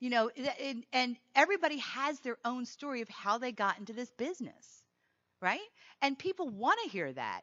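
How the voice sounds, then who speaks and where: The voice has an animated tone and swings very widely in pitch. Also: woman. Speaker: keynote speaker on sales. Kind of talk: conference talk. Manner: fast.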